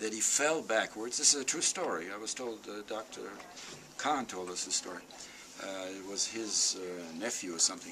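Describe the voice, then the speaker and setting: There is noticeable background noise as a man with a fairly low pitch speaks with lively intonation. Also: moderate pace. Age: 80s+. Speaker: Holocaust survivor speaker. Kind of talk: talk to school students.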